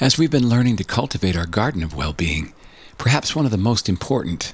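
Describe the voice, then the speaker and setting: His pitch swings very widely as the man talks. The voice is somewhat breathy. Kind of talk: guided meditation.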